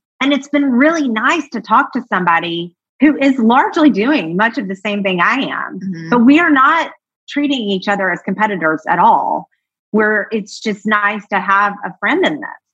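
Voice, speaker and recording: At a moderate pace, a woman with a fairly high pitch and lively intonation talks in an unremarkable speaking voice. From US South, Georgia. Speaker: marketing strategist. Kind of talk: casual interview chat.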